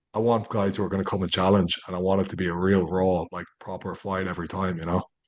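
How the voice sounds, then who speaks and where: A man talks very fast in an Irish accent, his pitch very deep and low. The background is quiet. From Ireland. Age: 30s. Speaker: MMA fighter. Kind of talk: interview. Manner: animated.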